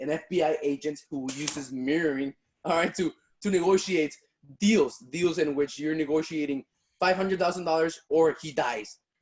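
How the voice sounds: A man speaks at a moderate pace with a fairly high pitch, a slightly mellow tone and ordinary pitch variation.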